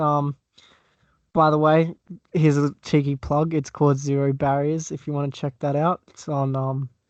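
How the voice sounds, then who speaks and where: Recorded dry and close with no echo against a quiet background, a man with an Australian accent speaks at a moderate pace and a fairly high pitch. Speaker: podcaster guest. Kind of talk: casual podcast chat.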